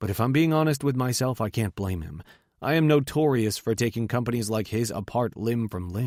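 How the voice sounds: The speaker reads aloud. It is a natural reading voice.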